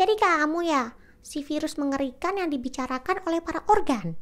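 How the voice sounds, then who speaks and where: A woman's squeaky, high put-on character voice at a moderate pace. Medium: read story.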